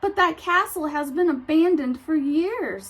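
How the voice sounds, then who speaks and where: Using a put-on character voice, a woman speaks at a moderate pace in an extremely high pitch. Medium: read story.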